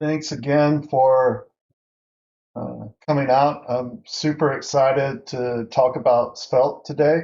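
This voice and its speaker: Speaking at a very slow pace, this man has a fairly high pitch, a Southern US accent, and fairly even intonation. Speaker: workshop instructor. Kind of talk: online workshop tutorial. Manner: casual with many fillers.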